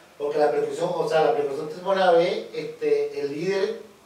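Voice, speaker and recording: The speech moves at a moderate pace with ordinary pitch variation. Audible room echo surrounds the voice. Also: man. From Venezuela, Caracas. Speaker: percussionist, channel host. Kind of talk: interview. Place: studio.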